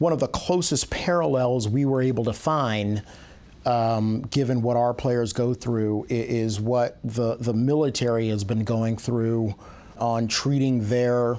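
At a fairly slow pace, a man talks with fairly even intonation and very even loudness. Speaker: interviewee. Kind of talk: interview answer. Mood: serious, thoughtful. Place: office. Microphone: lapel.

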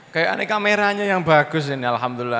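A man speaks with lively intonation. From Indonesia. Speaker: Islamic preacher. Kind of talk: sermon. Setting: religious assembly with audience. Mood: light, joking, warm. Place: hall. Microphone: handheld.

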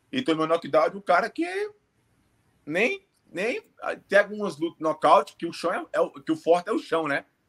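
Moderate pace with ordinary pitch variation and long, frequent pauses over a quiet background. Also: man, high pitch for a man. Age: 30s. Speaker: MMA fighter; remote interviewee. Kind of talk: interview. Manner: halting. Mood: reflective, regretful. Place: home room. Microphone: earbuds.

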